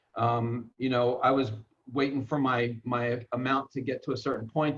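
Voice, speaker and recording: This man has an unremarkable speaking voice at medium pitch. He keeps a moderate pace. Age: 60s. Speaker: network marketer. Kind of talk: personal story in an interview.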